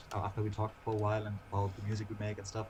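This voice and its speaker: Very fast and monotone, a man with a German accent talks at a fairly low pitch, somewhat breathy. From Germany, Lower Saxony. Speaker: singer in a dark-scene band. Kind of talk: casual interview chat. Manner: halting, repeats words.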